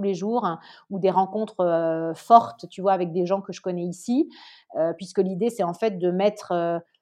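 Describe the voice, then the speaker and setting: Over a quiet background, a woman talks with a medium pitch, a dark, mellow tone and ordinary pitch variation. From southern France, Nice. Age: 30s. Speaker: entrepreneur. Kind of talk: interview.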